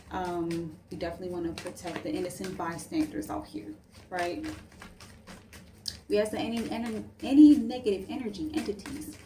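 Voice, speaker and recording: A woman talks at a moderate pace and medium pitch, with very wide pitch swings and big swings in loudness. Long, frequent pauses break it up, and there is audible room echo plus noticeable background noise. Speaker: tarot reader. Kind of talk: casual tarot reading to camera. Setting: at home late at night. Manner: soft-spoken; casual, filler-heavy.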